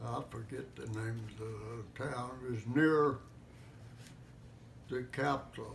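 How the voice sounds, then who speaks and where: Someone with an American accent speaks at a very slow pace. The room echo is audible. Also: man. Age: 90s. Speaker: war veteran. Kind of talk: interview. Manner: halting.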